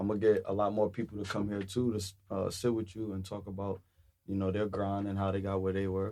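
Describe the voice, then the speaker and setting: Talking at a very fast pace, a man with a New York accent keeps a flat monotone in a fairly low voice. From Brooklyn, New York. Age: young. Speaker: cannabis entrepreneur. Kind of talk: casual chat.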